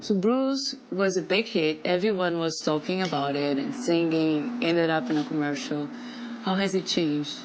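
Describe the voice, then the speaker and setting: A woman with a Brazilian accent and a fairly low pitch, at a moderate pace with very wide pitch swings and very even loudness, amid noticeable background noise and audible room echo. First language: Portuguese. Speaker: TV host interviewer. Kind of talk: casual interview.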